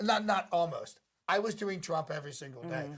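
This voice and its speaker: This is a man with a high pitch for a man. He talks at a moderate pace with ordinary pitch variation. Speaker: impressionist, podcast guest.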